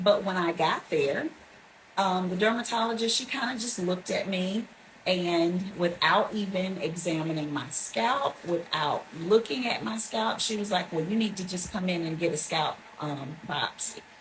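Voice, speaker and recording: A woman's medium-pitched voice with lively intonation at a moderate pace, over noticeable background noise. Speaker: hair salon client. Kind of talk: testimonial interview.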